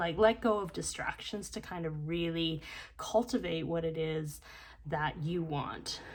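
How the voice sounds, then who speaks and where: Quiet and fairly low in pitch, a woman speaks at a fairly slow pace with ordinary pitch variation. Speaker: tarot card reader. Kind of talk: tarot reading. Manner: hesitant, many fillers.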